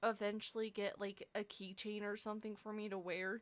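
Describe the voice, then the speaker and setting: The woman's pace is fairly slow. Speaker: streamer. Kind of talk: casual chat. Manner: quiet, soft-spoken; rambling, sidetracked.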